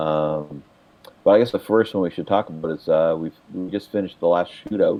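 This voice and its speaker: There is noticeable background noise as a man talks at a fairly quick pace in a very deep, low pitch with ordinary pitch variation. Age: 70s. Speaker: podcast co-host, sim racing league organizer. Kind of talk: casual chat.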